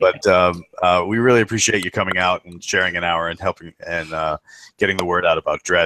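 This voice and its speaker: Using an American accent, a man speaks with a very deep, low pitch, a bright, sharp tone and fairly even intonation. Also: fairly quick pace, dry, close sound with no echo. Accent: American accent, remarked on by British guest. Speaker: podcast host. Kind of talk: casual chat.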